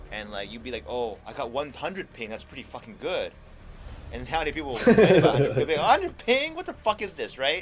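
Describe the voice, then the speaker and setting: A man speaks at a very fast pace. Behind him, music is playing. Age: 40s. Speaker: gaming streamer. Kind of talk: casual chat.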